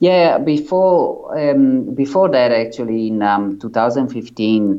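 In an Italian accent, a man speaks at a very slow pace with ordinary pitch variation. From Italy. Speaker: ultramarathon runner. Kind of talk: interview. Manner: halting.

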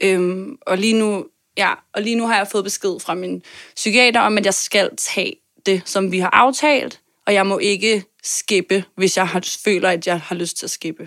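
The speech comes at a fairly slow pace with fairly even intonation. The sound is dry and close with no echo, on a very clean recording with a silent background. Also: woman, medium pitch for a woman. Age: 20s. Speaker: podcast guest, marketer and performer. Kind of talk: interview about personal health. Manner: hesitant, many fillers.

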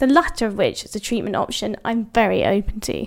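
A woman talks at a fairly quick pace with a British accent and a fairly high pitch. The recording is very clean, with a silent background. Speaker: columnist. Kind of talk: reading aloud.

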